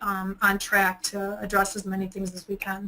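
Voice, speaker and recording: A woman with a Midwestern US accent speaks in a bright, sharp tone. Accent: US Midwest. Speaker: webinar presenter. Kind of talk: webinar presentation. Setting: online webinar.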